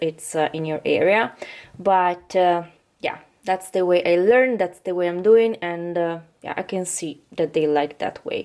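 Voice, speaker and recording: Keeping a moderate pace, a woman talks with a non-native accent. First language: not English. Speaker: vlogger. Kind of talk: casual tutorial vlog. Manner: halting, many fillers.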